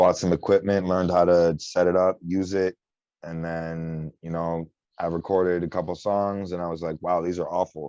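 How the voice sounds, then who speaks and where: The voice carries an American accent and a monotone, flat intonation. The sound is dry and close with no echo, against a quiet background. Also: man, very deep, low pitch for a man, moderate pace. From Michigan, Detroit area (Warren). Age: 20s. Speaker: underground rapper. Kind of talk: casual interview.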